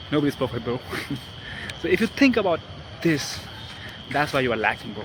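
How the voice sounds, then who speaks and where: Over noticeable background noise, a man with a non-native accent talks very fast. His fairly high pitch swings very widely. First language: not English. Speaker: self-improvement vlogger. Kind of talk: casual vlog talk. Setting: outdoors in a park. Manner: halting.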